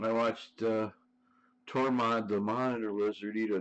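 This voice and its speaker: A man talks with an Ohio accent at a moderate pace. His pitch sits fairly low. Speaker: live streamer. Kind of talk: casual chat.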